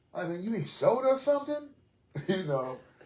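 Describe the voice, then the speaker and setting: Amid noticeable background noise and audible room echo, a man talks in an animated tone at a moderate pace. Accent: American. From New York City (Queens). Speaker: podcast host. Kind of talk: casual interview chat.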